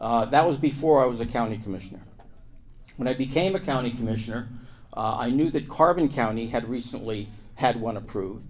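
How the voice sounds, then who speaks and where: A man with an American accent talks at a fairly quick pace and a medium pitch. His pitch varies in an ordinary way, and the room echo is audible. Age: 70s. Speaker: lawyer and former county commissioner. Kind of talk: conference panel talk. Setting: stage with audience.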